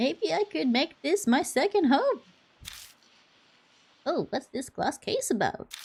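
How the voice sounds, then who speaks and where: A put-on character voice at a high pitch moves at a fairly slow pace, broken by long, frequent pauses. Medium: game stream. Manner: cheerful, cocky.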